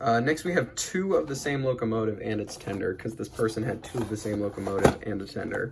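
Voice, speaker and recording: Against noticeable background noise, a man at medium pitch talks at a very fast pace with lively intonation and hardly any pauses. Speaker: toy train collector YouTuber. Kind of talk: casual show-and-tell unboxing. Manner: halting, many fillers.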